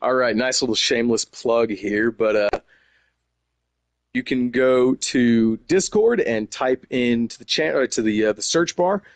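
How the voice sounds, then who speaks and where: The sound is dry and close with no echo as a man with a slight Texas accent talks at a fairly slow pace, medium in pitch with ordinary pitch variation. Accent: slight Texas twang. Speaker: gaming community member. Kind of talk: casual interview. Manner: animated.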